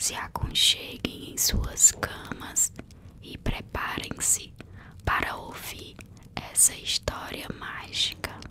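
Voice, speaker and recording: Someone whispers in a calm tone at a very slow pace, with noticeable background noise behind. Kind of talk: whispered ASMR bedtime story narration. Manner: whispered, soft, calm.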